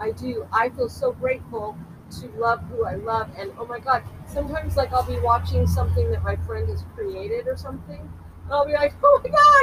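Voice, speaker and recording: A woman talks in an American accent, with big swings in loudness. Background noise is noticeable. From Culver City, California. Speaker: movement and dance practitioner. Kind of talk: casual interview. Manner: animated.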